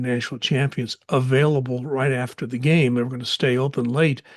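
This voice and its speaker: Medium-pitched male voice with flat, monotone delivery. The background is quiet. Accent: American. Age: 70s. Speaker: podcast host, local news commentator. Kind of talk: podcast commentary monologue. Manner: halting, with frequent fillers.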